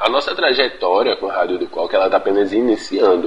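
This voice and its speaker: A moderately paced man's voice amid noticeable background noise. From Pernambuco, Brazil. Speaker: university student and community radio communicator. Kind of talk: pre-recorded talk.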